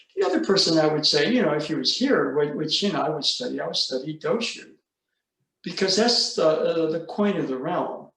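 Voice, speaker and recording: A man with a high-pitched voice talks at a fairly quick pace with lively intonation. Room echo can be heard. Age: 70s. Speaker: aikido teacher. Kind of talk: casual chat.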